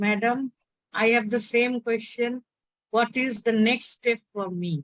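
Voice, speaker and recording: Speaking very slowly, a woman uses a fairly high pitch and fairly even intonation, recorded dry and close with no echo. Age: 60s. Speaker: caller asking tarot question. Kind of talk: consultation question.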